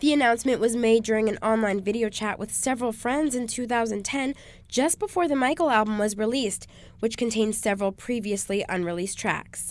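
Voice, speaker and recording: This woman has a fairly high pitch and ordinary pitch variation, a normal speaking voice. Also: fairly quick pace. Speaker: radio news and traffic reporter. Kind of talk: radio newscast read.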